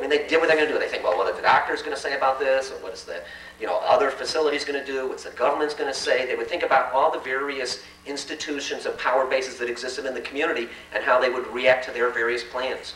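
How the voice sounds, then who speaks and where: A very fast male voice with an American accent, with audible room echo and noticeable background noise. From Chicago South Side. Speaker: community organizer. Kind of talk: public talk to an audience. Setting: forum event with live audience. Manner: speeds up as he goes.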